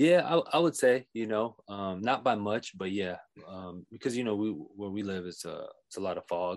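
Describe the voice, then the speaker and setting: Set against a quiet background, the speaker has an American accent, lively intonation and big swings in loudness at a moderate pace. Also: man. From California (Bay Area and Oxnard). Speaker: podcast guest, friend of host. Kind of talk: casual chat.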